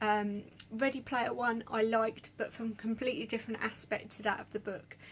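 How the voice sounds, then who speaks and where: Monotone, flat intonation at a moderate pace. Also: woman. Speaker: book vlogger. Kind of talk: casual monologue. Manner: halting.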